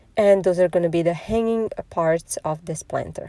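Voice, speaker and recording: A woman's dark, mellow tone comes through at a moderate pace, with a dry, close sound and no echo. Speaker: DIY crafts YouTuber. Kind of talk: tutorial. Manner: casual, with fillers.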